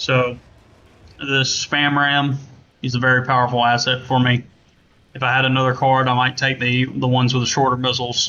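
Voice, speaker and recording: Monotone, flat intonation and very even loudness mark this moderate-paced delivery in a Southern US accent, with long, frequent pauses. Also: man, medium pitch for a man. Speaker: gaming content creator and game modder. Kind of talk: tutorial. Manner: casual, with many fillers. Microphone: laptop mic, poor quality.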